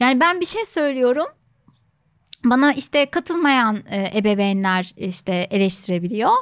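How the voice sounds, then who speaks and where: A woman's high-pitched voice moves in very wide pitch swings at a fairly slow pace. The background stays quiet. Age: 30s. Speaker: psychologist; guest psychologist or host. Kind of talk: interview conversation. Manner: many filler sounds, hesitant. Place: studio. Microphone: studio mic.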